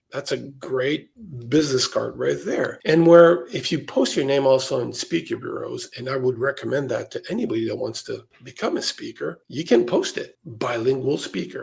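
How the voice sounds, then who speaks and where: With a slight French-Canadian accent, a man speaks at a moderate pace with hardly any pauses. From Quebec, Montreal. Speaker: professional speaker. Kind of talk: podcast interview.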